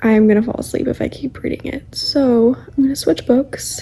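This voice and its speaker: Quiet and high-pitched, a woman speaks at a fairly quick pace with ordinary pitch variation. Noticeable background noise runs underneath. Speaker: book vlogger. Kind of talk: casual vlog talk to camera. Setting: at home in apartment.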